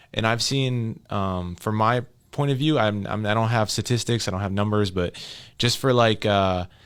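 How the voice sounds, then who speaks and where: A man speaks at a moderate pace with a fairly low pitch and ordinary pitch variation. The recording is very clean and the background silent. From Minneapolis, Minnesota. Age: 20s. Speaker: community member. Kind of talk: podcast interview. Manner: halting.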